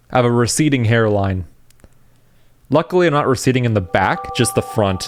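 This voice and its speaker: Noticeable background noise sits behind a man's voice. He speaks at a fairly quick pace with lively intonation. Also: medium pitch for a man, very even loudness. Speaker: gaming youtuber. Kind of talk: casual gameplay commentary. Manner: fast; halting, self-correcting.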